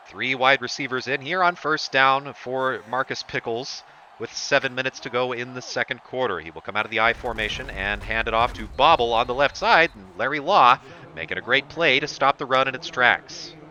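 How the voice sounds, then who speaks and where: A man speaks at a fairly quick pace with big swings in loudness. His pitch is medium and varies in an ordinary way. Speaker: play-by-play commentator for a simulated football game. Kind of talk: live play-by-play commentary. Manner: sarcastic.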